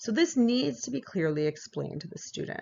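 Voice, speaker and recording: A woman's fairly quick speech with very wide pitch swings. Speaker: university instructor. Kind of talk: recorded online lecture. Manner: hesitant with fillers.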